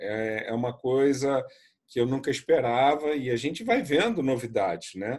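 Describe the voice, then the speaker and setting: An ordinary speaking voice from a man, medium in pitch, at a fairly slow pace with fairly even intonation. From Brazil, Rio de Janeiro. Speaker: tour guide. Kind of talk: casual chat.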